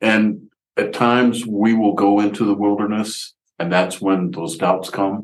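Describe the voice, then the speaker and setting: A man uses an ordinary speaking voice with a fairly low pitch. He moves at a fairly slow pace with fairly even intonation. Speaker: congregation member. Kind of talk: church discussion.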